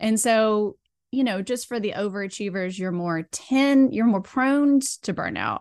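Quiet background behind a woman talking fairly slowly. Her pitch varies in an ordinary way. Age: 40s. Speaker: burnout recovery and women's health coach. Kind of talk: casual interview chat.

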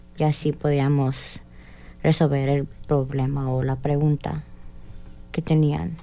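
A woman with a very deep, low pitch and a dark, mellow tone speaks at a very slow pace with long, frequent pauses and fairly even intonation. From Indianapolis, US Midwest. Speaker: police cadet. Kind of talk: radio interview.

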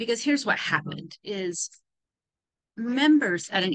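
Speaking at a fairly slow pace, a woman with an American accent has a bright, sharp tone and lively intonation. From California. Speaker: podcast host, religious educator. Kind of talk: solo podcast talk on religion. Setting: airport, recording on laptop. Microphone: laptop mic, poor sound.

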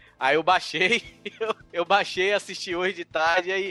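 A man talks in a raised, projected voice, pitched high and animated in tone. The sound is dry and close with no echo, though noticeable background noise comes through. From Brazil, Bahia (Salvador). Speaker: podcaster guest. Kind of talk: casual chat.

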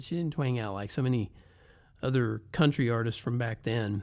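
The recording is very clean, with a silent background. A man speaks with a slight Southern US accent. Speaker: podcaster, former road musician. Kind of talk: casual monologue.

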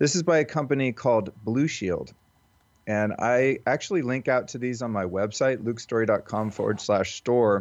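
A man speaks at a moderate pace and medium pitch, with ordinary pitch variation. He has an ordinary speaking voice, and the background is quiet. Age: 40s. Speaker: wellness coach and podcaster. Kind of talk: interview. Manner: casual with frequent fillers.

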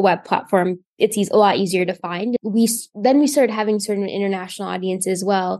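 A woman with an American accent speaks in an ordinary speaking voice at a medium pitch and a fairly quick pace. Her intonation is fairly even, and the background is quiet. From Indiana, US Midwest. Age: 20s. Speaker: patient advocacy nonprofit founder. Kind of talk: interview conversation.

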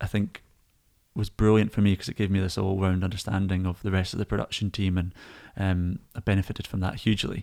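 Here a man speaks with a Scottish accent at a very fast pace. His voice is very deep and low, and his intonation is monotone and flat. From Scotland. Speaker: lighting designer. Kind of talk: casual chat.

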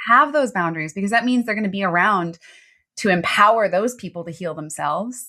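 A woman's plain, everyday voice with an American accent, medium in pitch, at a fairly quick pace with lively intonation, on a very clean recording with a silent background. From US East Coast, Baltimore. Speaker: transformational coach. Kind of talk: interview, personal testimony.

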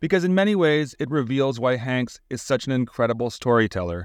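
In a very clean recording with a silent background and a dry, close sound with no echo, a man with a plain, everyday voice speaks at a medium pitch and a moderate pace. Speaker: podcast host, arts director. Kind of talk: scripted narration. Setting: studio.

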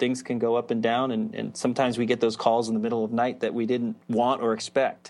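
A medium-pitched man speaks fairly quickly in a flat monotone, with hardly any pauses. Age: 40s. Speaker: psychologist and author, former professional BMX racer. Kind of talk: interview.

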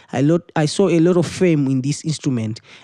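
With a Zimbabwean accent, a man of fairly high pitch speaks in a dark, mellow tone with ordinary pitch variation, the sound dry and close with no echo over a quiet background. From Zimbabwe, Harare. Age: 20s. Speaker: musician and music teacher. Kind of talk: interview. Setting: studio.

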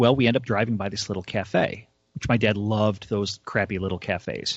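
A man with an American accent speaks at a moderate pace in an ordinary speaking voice. His pitch is fairly low and his intonation fairly even. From US North, suburbs. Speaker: podcast co-host. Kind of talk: casual chat.

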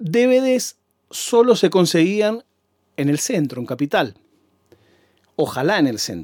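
A man with a high voice speaks at a very slow pace, leaving long, frequent pauses. His pitch swings very widely. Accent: Rioplatense. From Argentina, Buenos Aires province. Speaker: podcaster. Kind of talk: monologue storytelling. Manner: animated.

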